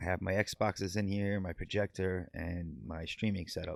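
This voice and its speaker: A man speaks with a New York accent. His pitch is fairly low. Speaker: gaming streamer. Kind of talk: casual chat. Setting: home studio. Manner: halting, repeats words.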